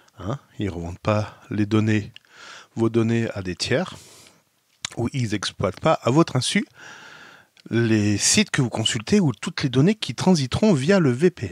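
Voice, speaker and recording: A man's voice in dry, close sound with no echo, very wide pitch swings, a fairly slow pace, and long, frequent pauses. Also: medium pitch for a man. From France. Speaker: tech video blogger. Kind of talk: tutorial.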